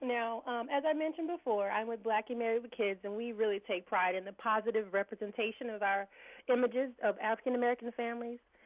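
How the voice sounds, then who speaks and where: With a Southern US accent, a woman talks very fast at a fairly high pitch with ordinary pitch variation. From Birmingham, Alabama. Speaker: blog interviewer. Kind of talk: interview.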